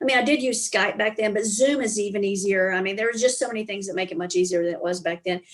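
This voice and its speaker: A woman speaks with a strong Southern accent. Her pitch is fairly high. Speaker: business consultant and speaker. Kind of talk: casual interview.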